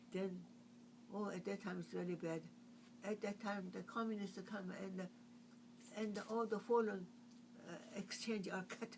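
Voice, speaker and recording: A woman speaks in a monotone, flat intonation, with long, frequent pauses. Noticeable background noise is present. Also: medium pitch for a woman. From China. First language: Chinese. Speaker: artist. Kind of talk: oral history interview. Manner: halting.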